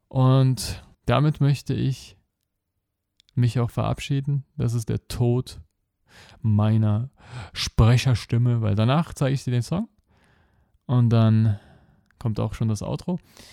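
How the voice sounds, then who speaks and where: Very slow delivery from a man with a dark, mellow tone and ordinary pitch variation, broken by long, frequent pauses, in a dry, close sound with no echo. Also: medium pitch for a man. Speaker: podcast host and life coach. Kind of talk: monologue podcast. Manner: animated.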